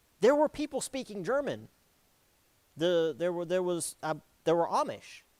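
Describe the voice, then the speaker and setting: A man speaks with an American accent. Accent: Southern US accent, strong at home. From South Carolina, Florence. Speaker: history lecturer. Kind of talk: lecture. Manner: casual, halting with fillers.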